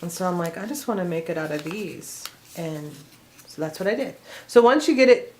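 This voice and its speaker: A woman of medium pitch talks at a fairly quick pace, with very wide pitch swings, big swings in loudness, long and frequent pauses, and noticeable background noise. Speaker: craft tutorial creator. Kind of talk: tutorial. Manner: casual, chatty.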